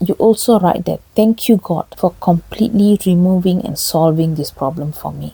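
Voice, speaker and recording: A woman with a fairly low pitch and ordinary pitch variation, recorded with a dry, close sound and no echo. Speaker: faith and relationship channel host. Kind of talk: spiritual teaching talk. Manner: slow.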